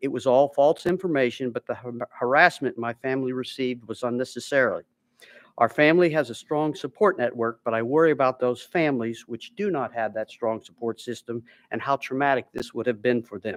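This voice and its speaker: An unremarkable speaking voice, a man at medium pitch with ordinary pitch variation and a fairly quick pace, dry and close with no echo, in a very clean recording with a silent background. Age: 60s. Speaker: witness testifying at a legislative hearing. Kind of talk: formal testimony. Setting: legislative hearing room. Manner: reading prepared statement, some stumbles.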